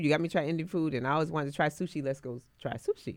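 A woman is speaking. Her tone is animated. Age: 60s. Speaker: guest on a chat podcast. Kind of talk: casual chat.

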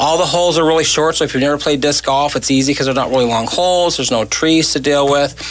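Speaking very fast with ordinary pitch variation, a man with a fairly high pitch is heard over noticeable background noise. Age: 60s. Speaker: cancer charity organizer. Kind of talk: casual chat.

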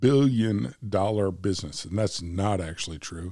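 With an American accent, a man with a very deep, low pitch talks in lively intonation. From United States. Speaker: podcast co-host. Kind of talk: casual chat. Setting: cigar shop.

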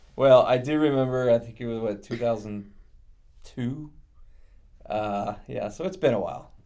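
Here a man speaks with an American accent at a medium pitch. His tone is dark and mellow, and his pace is moderate. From Northwest Indiana. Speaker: event rental account executive. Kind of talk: casual interview chat.

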